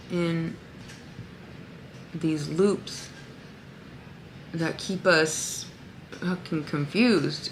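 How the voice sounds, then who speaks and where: A woman speaks very slowly amid noticeable background noise and audible room echo. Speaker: spiritual vlogger. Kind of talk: casual vlog monologue. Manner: halting, many fillers.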